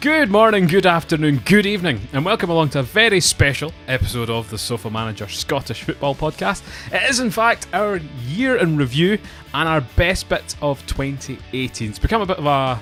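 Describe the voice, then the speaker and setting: A man talks at a fairly quick pace with very wide swings in pitch. Music plays in the background. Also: fairly high pitch for a man. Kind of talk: podcast host intro.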